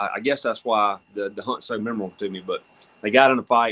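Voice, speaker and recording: A man talks at a very fast pace with a Southern US accent. His pitch is medium. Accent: Southern US (Georgia). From US South, North Georgia. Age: 40s. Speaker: hunter. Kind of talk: casual chat.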